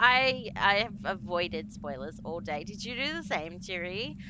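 A woman speaks with an Australian accent. The room echo is audible. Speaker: horror game streamer. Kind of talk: live game stream chat. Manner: animated.

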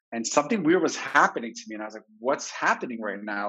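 A man's pitch rises and falls in an ordinary way, and the background stays quiet. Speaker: psychologist. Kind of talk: personal story in a webinar talk. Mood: reflective, candid storytelling.

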